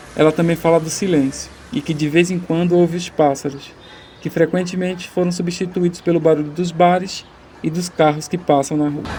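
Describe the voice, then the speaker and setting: Through noticeable background noise, a man speaks at a high pitch and a moderate pace in a flat monotone. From Paraíba, northeast Brazil. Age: 20s. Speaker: documentary director. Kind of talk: scripted narration.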